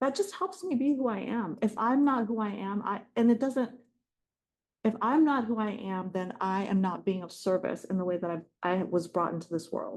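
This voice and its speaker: Somewhat breathy and fairly high-pitched, a woman speaks at a moderate pace with lively intonation. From South Korea, raised in US from age six. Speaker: executive coach and author. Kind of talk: webinar talk answering audience question.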